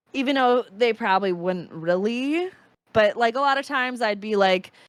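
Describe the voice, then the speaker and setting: In a Wisconsin accent, a woman talks at a moderate pace, her fairly high voice carrying lively intonation. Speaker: streamer. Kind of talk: casual chat. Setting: podcast recording.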